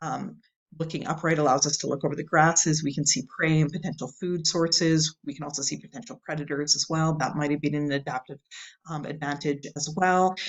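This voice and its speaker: A woman's very deep, low-pitched voice at a fairly quick pace. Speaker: university lecturer. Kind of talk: recorded video lecture. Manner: fast; animated.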